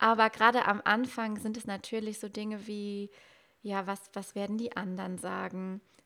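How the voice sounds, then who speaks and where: Big swings in loudness mark a woman's monotone, flat intonation on a very clean recording with a silent background. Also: medium pitch for a woman, moderate pace. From Westerwald, western Germany. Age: 20s. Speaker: Instagram marketing mentor. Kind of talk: podcast interview.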